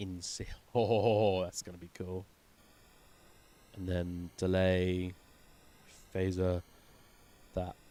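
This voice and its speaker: Very slow and full of long, frequent pauses, a man with a very deep, low pitch and an English accent speaks in a dark, mellow tone with monotone, flat intonation and big swings in loudness. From England. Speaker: music producer streamer. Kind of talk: live stream tutorial. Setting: live stream. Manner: casual thinking aloud. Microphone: quiet on stream.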